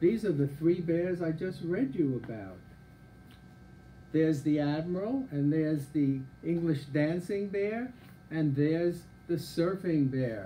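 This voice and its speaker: A man's dark, mellow tone at a fairly slow pace, with long, frequent pauses and light background noise. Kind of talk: reading a children's story aloud.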